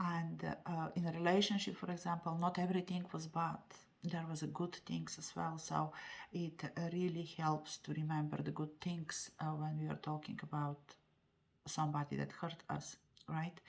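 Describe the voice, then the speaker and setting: A woman with a non-native accent talks at a moderate pace and a fairly low pitch. Her voice is somewhat breathy, with monotone, flat intonation. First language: not English. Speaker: tarot card reader. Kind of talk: tarot reading monologue. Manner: halting, many fillers.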